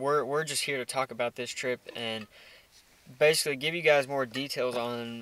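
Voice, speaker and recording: A man speaks with fairly even intonation in a dry sound with no echo. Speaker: hunting vlogger. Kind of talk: casual vlog chat. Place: car. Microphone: phone near.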